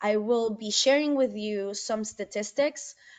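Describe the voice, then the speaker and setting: Speaking fairly slowly, a woman with a Spanish accent has a fairly high voice. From Venezuela. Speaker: environmental advocacy field manager. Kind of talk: presentation. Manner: conversational, with many fillers.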